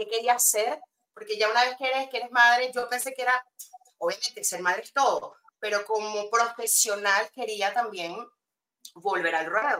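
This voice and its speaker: Bright, sharp tone from a woman at fairly high pitch, moderate pace, and ordinary pitch variation. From Venezuela. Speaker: copywriter, former journalist. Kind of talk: interview. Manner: halting.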